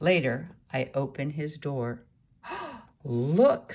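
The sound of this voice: The text comes out in an unforced reading voice.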